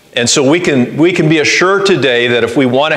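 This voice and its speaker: There is audible room echo as a man talks. His pace is fairly quick, with ordinary pitch variation. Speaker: pastor. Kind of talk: sermon. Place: church.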